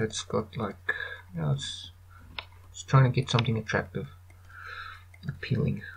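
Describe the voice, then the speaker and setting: A man with a non-native accent, mumbling at a moderate pace, with very wide pitch swings, big swings in loudness and long, frequent pauses. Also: medium pitch for a man. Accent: non-American accent, called weird by himself. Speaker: 3D artist, tutorial maker. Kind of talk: screen-recorded software tutorial. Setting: low-quality home microphone. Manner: mumbling, casual, hesitant.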